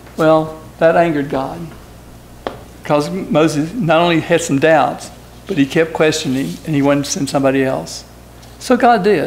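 A man's fairly high voice with ordinary pitch variation and long, frequent pauses, plus noticeable background noise. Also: moderate pace. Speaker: lay preacher. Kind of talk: sermon. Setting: church. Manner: halting.

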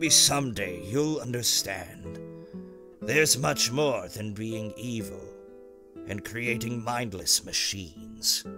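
Over clear music in the background, a man uses a put-on character voice at a medium pitch and a fairly slow pace. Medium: dub.

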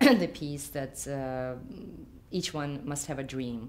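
A woman with a Ukrainian accent speaks at a very deep, low pitch. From Ukraine. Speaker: artist. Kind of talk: interview answer. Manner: hesitant, many fillers. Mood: thoughtful, calm. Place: home room.

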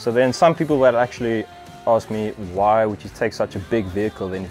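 Faint music plays in the background. A man with a fairly low pitch speaks at a fairly quick pace. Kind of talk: casual vlog tutorial. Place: garage. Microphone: lapel.

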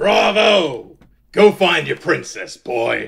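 A man with a gruff, high-pitched voice speaks at a very slow pace. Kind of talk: rough swearing. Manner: gruff, mocking, hearty.

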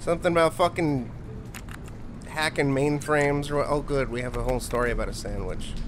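Amid noticeable background noise, a man speaks at a fairly quick pace with a fairly high pitch and fairly even intonation. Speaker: gaming streamer. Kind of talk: live gameplay commentary. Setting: live stream. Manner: profane, easily frustrated.

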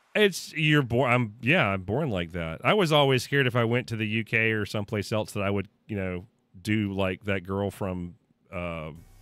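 In a very clean recording with a silent background, a man speaks at a moderate pace and fairly low pitch with lively intonation. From Mississippi, US South. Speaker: gaming streamer. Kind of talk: casual chat. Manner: halting, many repeated words.

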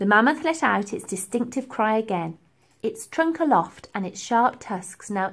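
Lively intonation in an unforced reading voice

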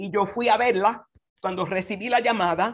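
The intonation stays fairly even against a quiet background. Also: woman. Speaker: conference speaker. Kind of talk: devotional talk. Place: home room. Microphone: video call.

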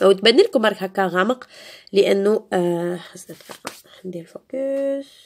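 Speaking at a moderate pace with an Algerian accent, a woman lets her loudness swing widely. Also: medium pitch for a woman, ordinary pitch variation. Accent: Algerian Arabic with French code-switching. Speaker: beauty youtuber. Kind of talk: tutorial. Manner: casual, code-switching.

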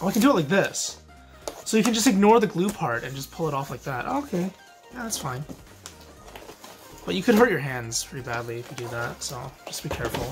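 A man talking at a fairly quick pace over clear music in the background. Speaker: card unboxing creator. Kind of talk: casual unboxing commentary. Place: home room.

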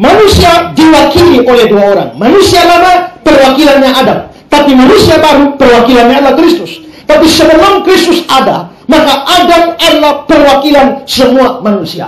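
Speech comes at a moderate pace with hardly any pauses, and audible room echo is heard. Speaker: pastor preaching. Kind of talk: sermon. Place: church.

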